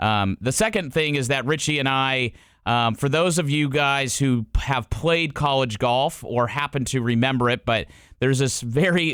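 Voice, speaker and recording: A man speaks at a moderate pace and medium pitch, with ordinary pitch variation and very even loudness, in an unremarkable speaking voice. The recording is very clean, with a silent background. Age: 30s. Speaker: golf podcast host. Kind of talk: casual podcast interview.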